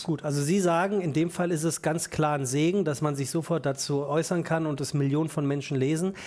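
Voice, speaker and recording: A normal speaking voice, a man's, fairly high-pitched and fairly quick, with fairly even intonation and hardly any pauses. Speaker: talk show host. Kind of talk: talk show interview questions. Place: studio. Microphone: headset.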